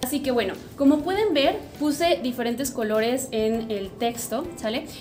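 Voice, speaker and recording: Over noticeable background noise and audible room echo, a woman with a high pitch speaks at a moderate pace in an animated tone with lively intonation. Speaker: online language teacher. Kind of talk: tutorial.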